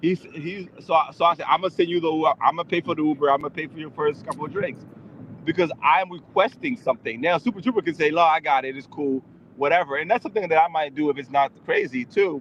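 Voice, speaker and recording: Using an American accent, a man speaks at a very fast pace and a fairly high pitch with ordinary pitch variation, the sound dry and close with no echo. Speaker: IRL live streamer. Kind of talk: casual chat. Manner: rambling.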